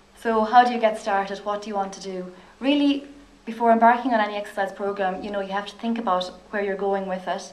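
Talking at a very fast pace, a woman with a medium pitch keeps a fairly even intonation while her loudness swings widely. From Ireland. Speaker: physiotherapist. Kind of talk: lecture. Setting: stage with audience. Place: hall.

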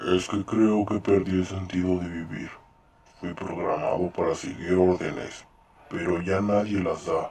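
A man performs a put-on character voice. His pitch is very deep and low. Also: fairly slow pace. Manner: flat, literal, machine-like.

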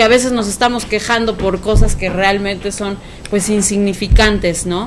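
Against noticeable background noise, a woman talks with fairly even intonation. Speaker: TV talk show host. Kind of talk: casual interview. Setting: studio.

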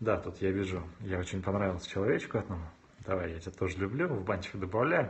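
This man's voice is very deep and low, somewhat breathy, with an animated tone. He talks very fast with ordinary pitch variation. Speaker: video blogger and YouTube marketing consultant. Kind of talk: live stream Q&A with viewers. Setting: live video stream on smartphone, standing. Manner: animated, moving a lot on camera. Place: home room.

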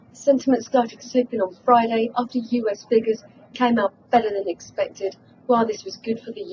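The delivery is fairly quick, with ordinary pitch variation. Light noise sits in the background. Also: woman. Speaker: market news correspondent. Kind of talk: news report. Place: office.

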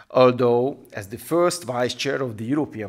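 A man with a Hungarian accent speaks at a moderate pace against a quiet background. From Hungary. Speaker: politician. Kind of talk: recorded video address. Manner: formal. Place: studio. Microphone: podium.

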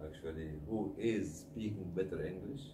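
Speaking with an Egyptian accent at a fairly slow pace, a man uses ordinary pitch variation and a dark, mellow tone amid audible room echo.

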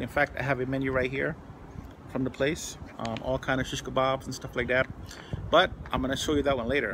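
Noticeable background noise is present. Over it, a man talks at a moderate pace. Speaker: food reviewer. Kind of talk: casual vlog chat. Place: garden. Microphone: phone near.

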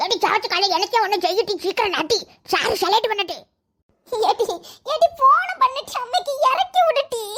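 Using a cartoonish character voice, a woman speaks at an extremely high pitch and a moderate pace with lively intonation. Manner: flustered, stammering.

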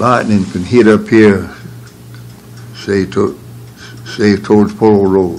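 Over light background noise, a man with fairly low pitch speaks at a very slow pace with fairly even intonation. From North Carolina. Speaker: retired electrician; interviewee. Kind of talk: oral history interview answer. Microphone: old recording.

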